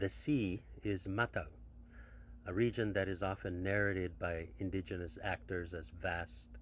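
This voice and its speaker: A man speaks at a moderate pace in a very deep, low voice with vocal fry. His pitch swings very widely. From Micronesia (Chuuk). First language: Chuukese. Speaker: academic researcher. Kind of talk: conference talk. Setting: pre-recorded video. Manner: formal; hesitant.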